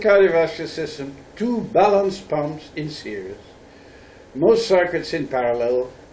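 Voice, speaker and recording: The speaker's pitch swings very widely, with audible room echo around the voice. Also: man. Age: 70s. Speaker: professor. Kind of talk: lecture.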